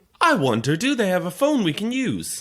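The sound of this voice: With very wide pitch swings, a man does a high-pitched, put-on character voice. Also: moderate pace.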